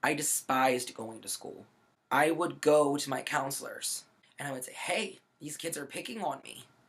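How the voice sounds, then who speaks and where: At a moderate pace, a man talks in an animated tone with fairly high pitch and ordinary pitch variation. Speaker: video blogger. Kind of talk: personal story vlog. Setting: sitting on bed, laptop recording. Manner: loud, projecting.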